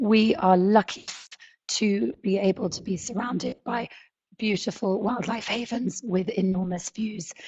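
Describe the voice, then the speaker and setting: A woman's somewhat breathy voice sits at a medium pitch. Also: ordinary pitch variation. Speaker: safari lodge owner. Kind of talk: webinar presentation. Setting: online webinar.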